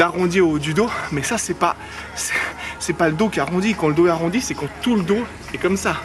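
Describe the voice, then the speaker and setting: Music plays in the background as a man speaks very fast at a high pitch with ordinary pitch variation. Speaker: fitness vlogger. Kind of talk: casual vlog talk. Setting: outdoors.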